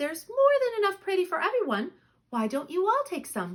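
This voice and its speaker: A woman's put-on character voice, squeaky and extremely high in pitch, with very wide pitch swings. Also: fairly quick pace. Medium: read story.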